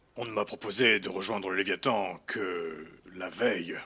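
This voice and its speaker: A man puts on a raspy character voice, fairly low in pitch, at a moderate pace. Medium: audio drama. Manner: terse, guarded, reluctant.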